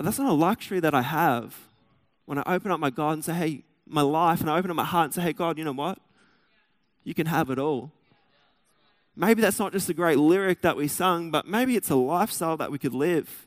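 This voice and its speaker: On a very clean recording with a silent background, a man with an Australian accent and a fairly high pitch talks at a fairly quick pace with ordinary pitch variation and long, frequent pauses. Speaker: pastor. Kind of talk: sermon. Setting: church.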